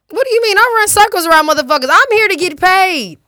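A woman's raised, projected voice races at a very fast pace, bright and sharp in tone, animated, with very wide pitch swings. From US, same city as host; parents from Los Angeles and Detroit. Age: 20s. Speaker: rapper. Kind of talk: casual interview chat.

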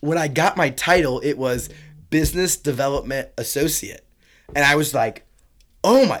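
With a Midwestern American accent, this man talks at a moderate pace in a fairly high voice, his animated tone carrying ordinary pitch variation between long, frequent pauses. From rural northern Indiana. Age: 20s. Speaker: entrepreneur. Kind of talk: casual interview chat. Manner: filler-heavy, animated.

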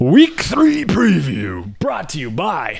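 A man puts on a character voice and speaks at a very slow pace. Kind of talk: radio announcer delivery.

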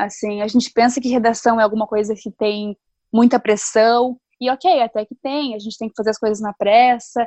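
A woman with an unremarkable speaking voice, fairly high in pitch, fairly even in intonation, at a moderate pace, with a dry, close sound and no echo. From Novo Hamburgo, Rio Grande do Sul, Brazil. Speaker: sports journalist. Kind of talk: casual interview.

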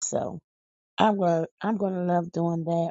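An American-accented woman with a fairly low pitch, at a fairly slow pace. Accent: country-sounding, per her kids. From Philadelphia, US. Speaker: podcast host. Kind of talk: casual chat.

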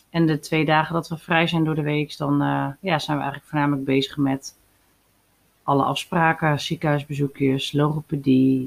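Very deep and low, a woman's voice moves at a moderate pace with monotone, flat intonation. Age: 30s. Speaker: podcast host and mother. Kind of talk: personal monologue podcast.

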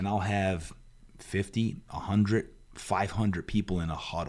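In a normal speaking voice, a man talks at a moderate pace, his fairly low pitch showing ordinary variation. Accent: American. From New Jersey, Jersey Shore. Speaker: fitness coach and motivational speaker. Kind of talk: interview. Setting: studio.

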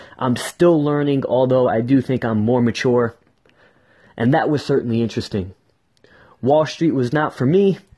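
Using an American accent, a man speaks at a moderate pace and medium pitch with a dark, mellow, somewhat breathy tone, ordinary pitch variation and long, frequent pauses. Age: 20s. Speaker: marketing entrepreneur. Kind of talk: solo podcast monologue. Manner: energetic.

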